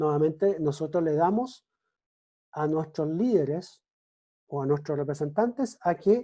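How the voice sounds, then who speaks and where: Someone speaks at a fairly slow pace over a quiet background. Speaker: lecturer on political science. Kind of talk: lecture. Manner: halting, many self-corrections.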